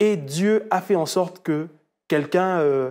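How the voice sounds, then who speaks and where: Over a quiet background, a man with a high pitch and a dark, mellow tone speaks with ordinary pitch variation. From DR Congo (Kinshasa); DR Congo. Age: 30s. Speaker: entrepreneur and amputee sharing his story; guest. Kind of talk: testimony. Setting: studio. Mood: earnest, at times smiling. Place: studio. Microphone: lapel.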